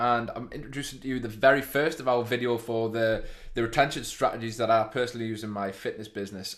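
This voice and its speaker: The speaker, in a northeast England accent, talks at a very fast pace with fairly even intonation. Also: man, medium pitch for a man. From northeast of England. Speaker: fitness business owner presenting a video.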